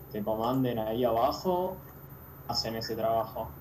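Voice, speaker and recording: The speaker has a Rioplatense accent and ordinary pitch variation. Noticeable background noise and audible room echo fill the recording. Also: man. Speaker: football podcast co-host. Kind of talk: casual chat.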